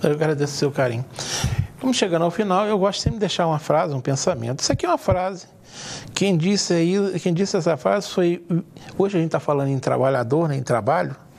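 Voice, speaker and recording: A man at a high pitch with lively intonation, very even loudness and a very fast pace, over noticeable background noise. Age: 60s. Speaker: TV talk show host. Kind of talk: TV interview discussion.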